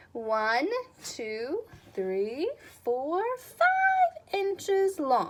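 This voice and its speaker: Speaking at a very slow pace, a woman performs a put-on character voice with extremely high pitch and very wide pitch swings. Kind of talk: bedtime story. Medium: read story. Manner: earnest, gentle.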